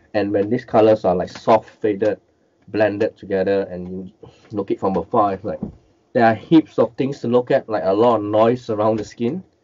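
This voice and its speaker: Fairly low in pitch, a man speaks with ordinary pitch variation. His pace is moderate. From Malaysia. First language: Cantonese. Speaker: miniature and collectible painter; guest. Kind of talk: interview, casual chat. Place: home room. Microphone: headset.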